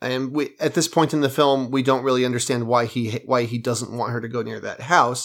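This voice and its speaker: A man's unremarkable speaking voice at a medium pitch, with fairly even intonation, a fairly quick pace, and hardly any pauses, in a very clean recording with a silent background. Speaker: podcast co-host. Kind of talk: casual chat. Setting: studio.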